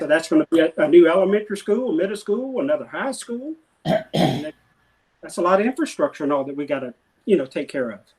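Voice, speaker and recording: Talking at a very fast pace, a man with a high pitch makes very wide pitch swings and big swings in loudness. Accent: Alabama. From Mobile, Alabama. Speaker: city council candidate. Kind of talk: interview answer.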